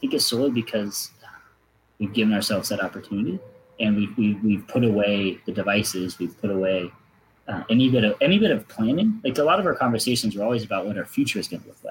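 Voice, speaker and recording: A man speaks very fast in a fairly low, somewhat breathy voice with ordinary pitch variation. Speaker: former pro cyclist, athlete marketing manager. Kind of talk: interview conversation.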